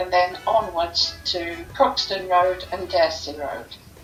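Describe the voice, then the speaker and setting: A woman's very slow speech in a southern English accent, with noticeable background noise. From London, England. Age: 70s. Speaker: local resident sharing memories. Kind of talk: reminiscence, reading prepared memories.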